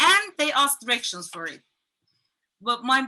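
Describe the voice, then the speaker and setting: Her voice is raised and projected, high in pitch with a bright, sharp tone. The woman keeps a moderate pace. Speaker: comedian. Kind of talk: stand-up.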